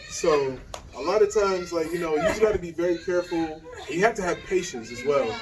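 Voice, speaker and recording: Amid noticeable background noise, a man with an American accent speaks very fast at a high pitch with ordinary pitch variation. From US South. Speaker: expat content creator. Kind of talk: interview Q&A. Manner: casual, conversational.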